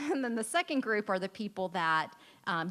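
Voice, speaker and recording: The speaker has an American accent. The pace is fairly quick. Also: woman. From South Korea, grew up on US army base. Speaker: railway company employee, award dinner speaker. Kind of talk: speech at award dinner. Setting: stage with audience at dinner. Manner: hesitant, many fillers.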